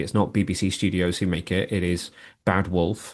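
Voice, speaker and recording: Against a quiet background, a man with a British accent and a very deep, low pitch speaks at a fairly quick pace in a flat monotone. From UK. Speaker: TV show commentator. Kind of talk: casual podcast discussion.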